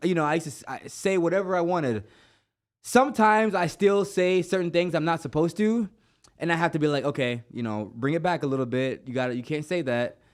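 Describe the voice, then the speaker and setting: With an American accent, a man talks at a very fast pace in a high voice with lively intonation, on a very clean recording with a silent background. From Jamaica. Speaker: podcast host. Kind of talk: casual interview chat. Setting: studio.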